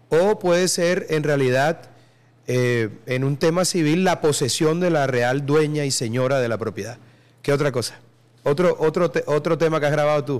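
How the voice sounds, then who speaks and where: An unremarkable speaking voice from a man, fairly high in pitch, with ordinary pitch variation at a moderate pace. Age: 40s. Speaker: podcast host. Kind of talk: casual chat.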